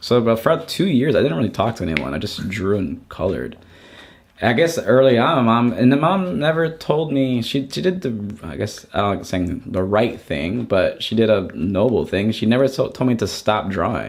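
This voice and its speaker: With vocal fry in his voice, a man swings his pitch very widely at a moderate pace. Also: medium pitch for a man. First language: not English (learned English at seven). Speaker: artist and art educator. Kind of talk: casual interview chat. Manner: halting, many false starts.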